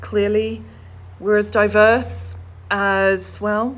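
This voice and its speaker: A woman's voice carries audible room echo. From middle of England. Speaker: corporate accessibility executive. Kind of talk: conference keynote talk.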